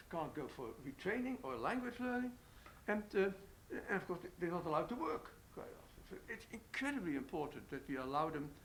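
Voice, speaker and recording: Fairly quick and high in pitch, a man with a Dutch accent speaks with very wide pitch swings. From Netherlands. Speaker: economist. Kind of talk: panel interview. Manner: halting, many fillers.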